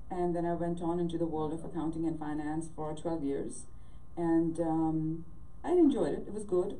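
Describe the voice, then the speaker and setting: A woman's fairly low-pitched voice at a moderate pace with fairly even intonation. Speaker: remote guest. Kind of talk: interview answer. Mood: warm, reflective. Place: home room. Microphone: video call.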